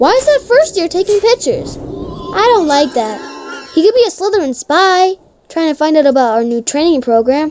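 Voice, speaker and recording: A woman uses a put-on character voice and talks at a fairly quick pace. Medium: game stream.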